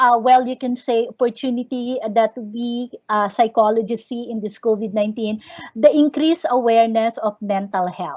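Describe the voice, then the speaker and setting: A woman with a normal speaking voice and a fairly high pitch talks at a moderate pace, her pitch varying in an ordinary way while her loudness swings widely. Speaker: psychologist and teacher giving a convention talk. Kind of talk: lecture. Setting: online video conference.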